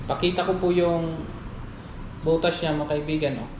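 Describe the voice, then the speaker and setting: Here a man speaks high in pitch at a fairly slow pace. Noticeable background noise runs underneath. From Negros Island, Philippines. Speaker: fishing and outdoor vlogger. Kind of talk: casual talk to camera.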